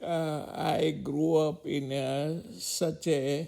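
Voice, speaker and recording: A man speaks in a fairly high voice. He has a Gujarati accent. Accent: Indian (Gujarati). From India, Mumbai. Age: 80s+. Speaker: elderly interviewee. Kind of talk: life story interview. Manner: halting, many hesitations.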